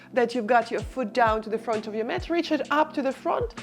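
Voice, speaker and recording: Over music in the background, the voice is calm, with ordinary pitch variation. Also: woman. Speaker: barre and stretch instructor. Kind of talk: follow-along exercise class instruction. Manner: encouraging, calm.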